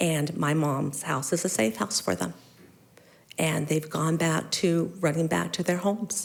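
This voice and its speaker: Vocal fry marks a woman's very deep, low pitch in an American accent. She talks at a fairly slow pace with ordinary pitch variation. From Mesa, Arizona. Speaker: resident speaking at public comment. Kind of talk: public comment at council meeting. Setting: city council chamber. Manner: halting.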